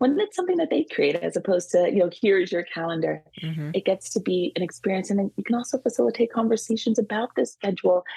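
A woman with an American accent talks at a very fast pace, her medium-pitched voice dark and mellow with vocal fry and lively intonation, recorded dry and close with no echo. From California. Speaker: social worker and play therapist. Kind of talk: interview.

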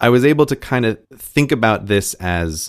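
Recorded very cleanly over a silent background, a man with an American accent uses a medium pitch with very wide pitch swings. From United States. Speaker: podcast co-host, former teacher. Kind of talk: casual chat.

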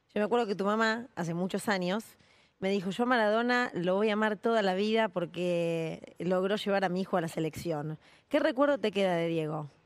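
At a fairly quick pace, a woman of medium pitch speaks with ordinary pitch variation in a very clean recording with a silent background. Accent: Rioplatense. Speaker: sports journalist. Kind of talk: interview.

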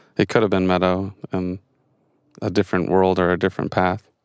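The recording is very clean and its background silent. A man talks with a very deep, low pitch. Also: dry, close sound with no echo. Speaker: podcast co-host. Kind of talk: casual chat.

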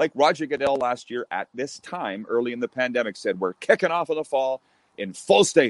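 In a normal speaking voice, a man talks at medium pitch and a fairly quick pace with lively intonation, the sound dry and close with no echo. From Canada. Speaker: radio host. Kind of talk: casual interview chat.

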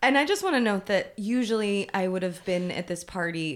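This woman has a plain, everyday voice. She talks at a fairly quick pace with ordinary pitch variation. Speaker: writer, actor and producer, friend of guest. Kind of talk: casual interview chat.

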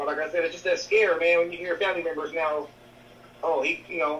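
Noticeable background noise comes through the recording. A man with a high pitch talks at a very fast pace. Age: 30s. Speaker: podcast co-host and healthcare worker. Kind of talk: casual chat. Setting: video call.

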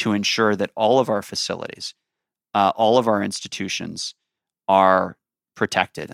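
A man with a Chicago accent and a fairly low pitch sounds dry and close with no echo on a very clean recording with a silent background. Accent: Chicago American. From US Midwest, Chicago. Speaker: security organization director. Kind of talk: interview. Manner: hesitant fillers.

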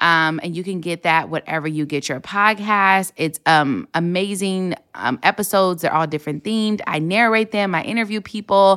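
A woman with an American accent and a plain, everyday voice speaks at a moderate pace and medium pitch with ordinary pitch variation and hardly any pauses, on a very clean recording with a silent background. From Los Angeles, California. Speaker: comedian and podcast host. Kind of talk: casual chat.

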